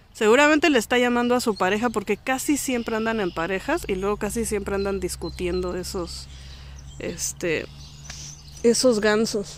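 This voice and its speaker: An animated tone at a moderate pace, with ordinary pitch variation. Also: woman, medium pitch for a woman. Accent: Mexican. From Mexico. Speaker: vlogger. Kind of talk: casual vlog talk. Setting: outdoors in a park.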